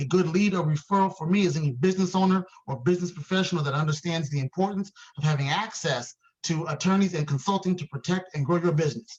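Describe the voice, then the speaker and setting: A man talking at a very fast pace in a high pitch. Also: ordinary pitch variation. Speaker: networking event host. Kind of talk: event hosting on video call. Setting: video call. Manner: animated.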